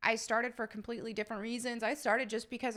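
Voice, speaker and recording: In a very clean recording with a silent background, a woman with an American accent talks at a very fast pace, her fairly high pitch carrying a bright, sharp tone over fairly even intonation. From upstate New York, Southern family. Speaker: YouTuber. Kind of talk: Q&A reading viewer questions. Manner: casual, with filler words.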